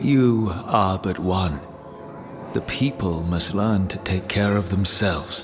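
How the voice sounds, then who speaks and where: Someone uses a put-on character voice at a fairly slow pace. Clear background noise is present. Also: man, very deep, low pitch for a man. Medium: video game. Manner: scornful, brooding.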